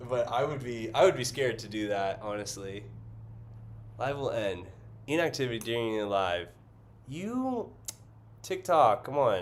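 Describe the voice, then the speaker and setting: A man with a medium pitch speaks at a moderate pace with lively intonation and long, frequent pauses, and the room echo is audible. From US West Coast, San Francisco Bay Area. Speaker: artist and livestreamer. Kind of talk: casual livestream chat while painting. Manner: filler-heavy, hesitant.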